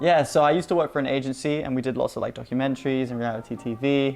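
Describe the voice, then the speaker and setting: Music plays behind a man with a British accent. He speaks very fast at a medium pitch, with fairly even intonation. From Hong Kong, British family. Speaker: video creator, film producer. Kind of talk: casual Q&A chat.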